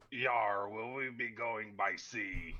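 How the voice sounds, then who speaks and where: This man puts on a character voice. It is raspy and medium in pitch. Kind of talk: pirate talk.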